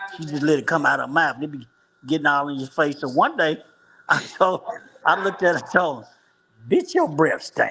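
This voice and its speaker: With an American accent, a man of fairly high pitch talks at a fairly quick pace, using fairly even intonation, long, frequent pauses and big swings in loudness. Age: 60s. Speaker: former street hustler on dialysis. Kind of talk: interview answer.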